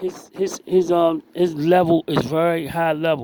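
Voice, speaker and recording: This man talks in a monotone, flat intonation at a high pitch. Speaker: boxing commentator on own channel. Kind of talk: video breakdown commentary. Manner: repetitive, stammering.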